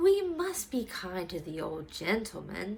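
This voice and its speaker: A woman uses a put-on character voice at medium pitch. She speaks at a fairly slow pace. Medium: read story. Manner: gentle, kind.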